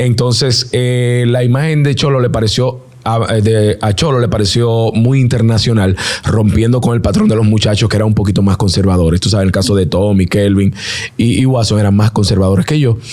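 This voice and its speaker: A man speaks with a Dominican accent at a very even loudness. Noticeable background noise runs under his voice. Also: ordinary pitch variation, fairly quick pace. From Dominican Republic, Santo Domingo area (Herrera). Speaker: singer and NBA commentator. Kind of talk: interview.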